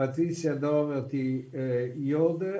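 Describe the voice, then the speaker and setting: A man with a non-native accent talks at a very slow pace, his pitch fairly high and his tone dark and mellow. His intonation is fairly even, and room echo is audible. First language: Italian. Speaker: conference moderator. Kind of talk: conference moderation. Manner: halting.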